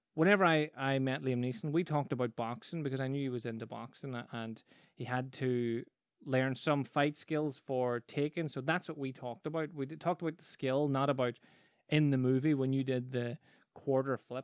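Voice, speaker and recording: Someone with a Northern Irish accent talks at a fairly quick pace with fairly even intonation, in a dry, close sound with no echo and a quiet background. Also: man. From Northern Ireland. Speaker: podcast host, business coach and magician. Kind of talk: casual solo podcast monologue. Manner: conversational with frequent false starts.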